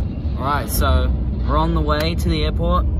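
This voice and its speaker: Loud background noise surrounds a man's voice. The sound itself is dry, with no echo. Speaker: vlogger. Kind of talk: casual vlog chat. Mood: cheerful, excited. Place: car. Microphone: phone near.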